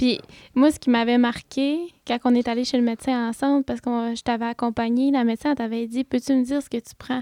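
A woman's high-pitched voice, dark and mellow in tone, moves at a fairly quick pace in a flat monotone, recorded dry and close with no echo, very clean, with a silent background. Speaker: podcast host. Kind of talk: interview.

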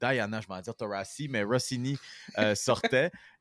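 A man with a Quebec accent. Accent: Québécois French. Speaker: sports podcast host. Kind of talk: casual chat.

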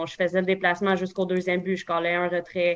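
A woman at a medium pitch with a Quebec accent. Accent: Québécois French. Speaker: baseball umpire. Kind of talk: casual interview.

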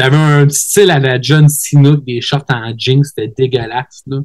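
A man with a plain, everyday voice, medium pitch, fairly even intonation and a fairly slow pace. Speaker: wrestler. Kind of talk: casual interview chat.

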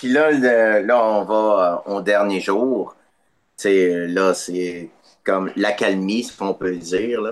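Very slow delivery in a Quebec accent, with fairly even intonation. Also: man. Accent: Québécois French. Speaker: podcast guest. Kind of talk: casual chat.

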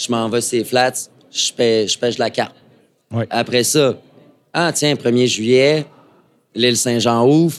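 At a very slow pace with long, frequent pauses, a man of medium pitch keeps his intonation fairly even. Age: 30s. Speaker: fly shop owner. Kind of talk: casual interview. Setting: live before audience at a trade show.

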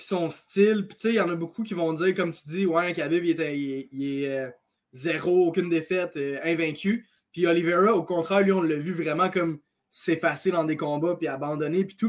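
Speaking with a Quebec accent, a man talks at a moderate pace. His pitch is high and his intonation fairly even. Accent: Québécois French. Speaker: MMA analyst. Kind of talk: casual chat.

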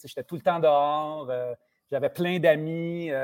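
A man talks at a moderate pace with a fairly high pitch. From Quebec, rural village (Saint-Ours). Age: 50s. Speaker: TV host and journalist. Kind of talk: casual interview chat.

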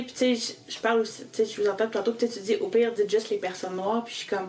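A woman with a fairly high pitch talks at a very fast pace with hardly any pauses and fairly even intonation. Her loudness swings widely, and there is noticeable background noise. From Quebec (Magog). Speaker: podcast co-host. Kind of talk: casual conversation.

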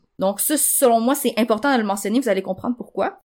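A woman speaks with a Quebec accent. Her pitch is high, with ordinary variation. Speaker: journalist and author sharing pregnancy loss. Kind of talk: testimony in casual chat.

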